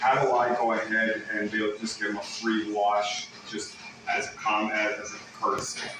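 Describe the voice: Amid audible room echo, a man with a fairly low pitch and a bright, sharp tone speaks at a moderate pace in a monotone, flat intonation.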